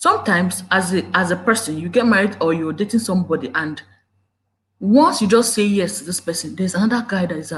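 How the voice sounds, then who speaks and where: Speaking in a Nigerian accent, a woman of medium pitch talks at a fairly quick pace with ordinary pitch variation. Her voice is somewhat breathy and swings a lot in loudness. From Nigeria, Igbo. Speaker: YouTube relationship commentator. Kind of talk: live stream talk. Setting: live video at home. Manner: animated, emotional. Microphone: problem mic.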